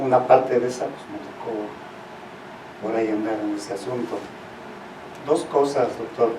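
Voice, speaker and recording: Amid noticeable background noise and audible room echo, the speaker keeps a moderate pace and fairly even intonation, with long, frequent pauses and big swings in loudness. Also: man, medium pitch for a man. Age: 70s. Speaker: audience member. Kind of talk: Q&A comment.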